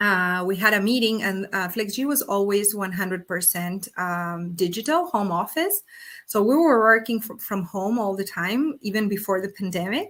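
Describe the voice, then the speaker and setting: A woman speaks at a medium pitch in a Spanish accent with ordinary pitch variation. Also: moderate pace. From Argentina. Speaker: startup executive. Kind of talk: interview. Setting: video call.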